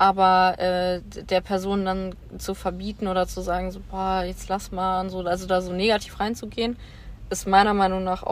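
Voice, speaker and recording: The recording is very clean, and the background is silent. A woman speaks fairly slowly. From western Germany, Bonn. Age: 20s. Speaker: social worker. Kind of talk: casual chat.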